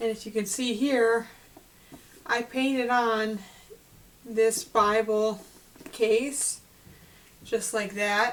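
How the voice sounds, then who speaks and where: A woman with a fairly high pitch speaks very slowly in a monotone, flat intonation with long, frequent pauses over noticeable background noise. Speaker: Bible study host. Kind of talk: casual talk to camera. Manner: clear.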